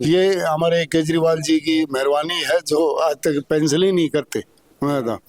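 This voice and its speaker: A man speaks in a fairly high pitch with fairly even intonation and very even loudness, recorded dry and close with no echo. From Delhi village, Najafgarh area. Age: 60s. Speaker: villager. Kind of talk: street interview.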